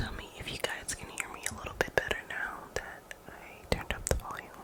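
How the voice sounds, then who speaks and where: Fairly quick whispering against noticeable background noise. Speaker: ASMR artist. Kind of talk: ASMR story time. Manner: soft-spoken; casual, rambling.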